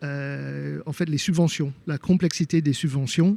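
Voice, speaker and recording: His tone dark and mellow, a man speaks at a fairly high pitch with a slight non-native accent. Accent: slight foreign. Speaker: homeowner sharing renovation experience. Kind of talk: interview testimony. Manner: halting, many hesitations.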